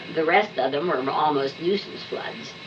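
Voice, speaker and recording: Very slow speech from a woman with an American accent, with ordinary pitch variation, over noticeable background noise. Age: old. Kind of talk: interview answer.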